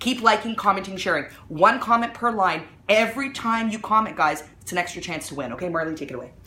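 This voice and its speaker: A woman speaks very fast in an animated tone at a medium pitch, her intonation lively and her loudness swinging widely, with noticeable background noise and audible room echo. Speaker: mom blogger hosting a live video. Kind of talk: live stream product promotion. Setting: at home, live video.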